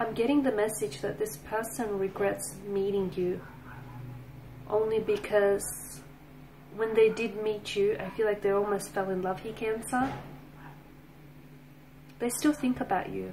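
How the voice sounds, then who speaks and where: Amid light background noise, a woman speaks at a fairly slow pace with ordinary pitch variation and long, frequent pauses. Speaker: tarot reader. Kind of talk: tarot reading commentary.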